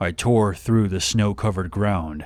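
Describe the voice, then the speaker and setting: A man speaks at a moderate pace with a fairly low pitch, ordinary pitch variation and an unremarkable speaking voice. The recording is very clean, with a silent background. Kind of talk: horror story narration.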